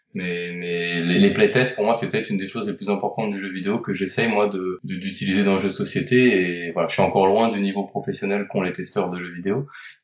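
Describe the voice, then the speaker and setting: A man with a fairly low pitch speaks at a fairly quick pace with hardly any pauses. His intonation stays fairly even, and background noise is noticeable. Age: 40s. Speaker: board game designer and publisher. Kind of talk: interview.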